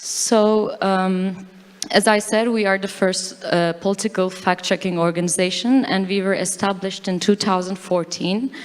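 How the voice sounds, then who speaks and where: A woman's medium-pitched voice in a Turkish accent, monotone and flat at a moderate pace. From Turkey. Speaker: fact-checker. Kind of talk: conference talk. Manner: halting.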